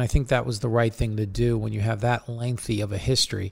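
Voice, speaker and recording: In a Long Island accent, a man talks at a fairly quick pace. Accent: Long Island New York. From Long Island, New York. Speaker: football analyst and podcast host. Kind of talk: casual sports chat and analysis.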